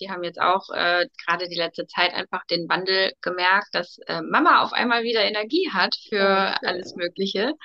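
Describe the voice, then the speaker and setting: With a plain, everyday voice, a woman speaks at a moderate pace and medium pitch with hardly any pauses. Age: 30s. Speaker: coaching client, mother. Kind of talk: testimony in casual interview.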